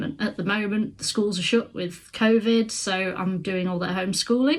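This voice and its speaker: With a Midlands accent, a woman talks at medium pitch and a moderate pace, with ordinary pitch variation over noticeable background noise. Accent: British (Midlands). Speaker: crafts vlogger. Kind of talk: casual vlog to camera. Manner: hesitant, many fillers.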